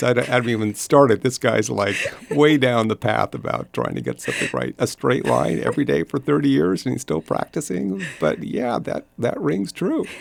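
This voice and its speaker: Vocal fry marks this man's moderate-paced speech in an American accent. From US. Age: 60s. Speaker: entrepreneur. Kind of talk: casual chat. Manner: halting.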